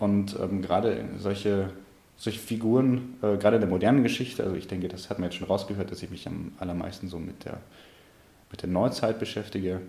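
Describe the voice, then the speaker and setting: In audible room echo, a man talks at a fairly quick pace with fairly even intonation. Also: fairly low pitch for a man. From Munich, Bavaria. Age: 20s. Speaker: history student. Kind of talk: interview. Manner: halting, repeats words.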